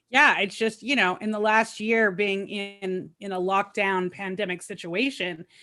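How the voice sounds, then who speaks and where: A woman speaks loudly at a moderate pace, her medium-pitched voice bright and sharp in tone, with ordinary pitch variation. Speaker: recovery advocate and media marketer. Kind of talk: personal testimony interview.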